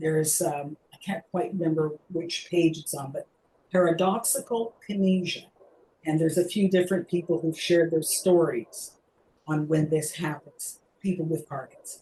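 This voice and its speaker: A woman speaks in a fairly low, somewhat breathy voice with a dark, mellow tone and fairly even intonation. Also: moderate pace. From Canada. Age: 60s. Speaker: mime teacher with Parkinson's. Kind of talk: webinar Q&A talk. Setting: video call webinar.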